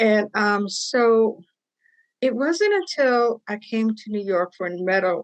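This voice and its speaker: The speech shows ordinary pitch variation in a dry, close recording with no echo. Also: woman. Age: 60s. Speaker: patient advocate. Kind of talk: testimony.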